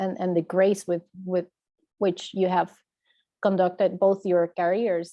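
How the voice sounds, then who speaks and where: Speaking at a moderate pace, a woman with a non-native accent uses a medium pitch. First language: not English. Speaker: audience member. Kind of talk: audience question. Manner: halting.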